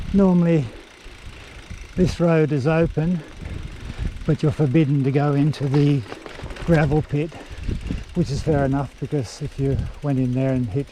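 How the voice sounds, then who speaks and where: Moderately paced male speech, fairly high in pitch, with ordinary pitch variation amid noticeable background noise. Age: 60s. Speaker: e-bike vlogger. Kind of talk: ride-along vlog narration. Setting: outdoors on a bike. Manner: casual, conversational.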